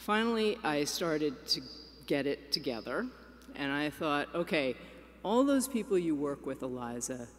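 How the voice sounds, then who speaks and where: With a New York accent, a woman speaks at a moderate pace in a very deep, low voice with very wide pitch swings. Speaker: executive director of an advocacy organization. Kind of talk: keynote speech.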